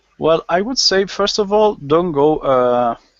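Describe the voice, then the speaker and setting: A man is talking. He has a strong Spanish accent. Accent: Spanish accent, strong at times. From Spain. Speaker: gaming panelist. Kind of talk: casual panel chat. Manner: halting.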